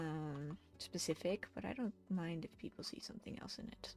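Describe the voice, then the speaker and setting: A woman speaks with a Dutch accent. Her intonation is lively. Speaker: digital artist streamer. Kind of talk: casual live stream chat while drawing. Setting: live art stream. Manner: halting.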